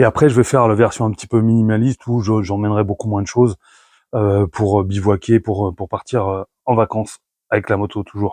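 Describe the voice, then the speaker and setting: Heard dry and close with no echo, a dark, mellow voice moves at a fairly quick pace with fairly even intonation. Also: man, fairly low pitch for a man. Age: 50s. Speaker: motorcycle travel vlogger. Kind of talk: gear presentation vlog. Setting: garage. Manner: hesitant, many fillers.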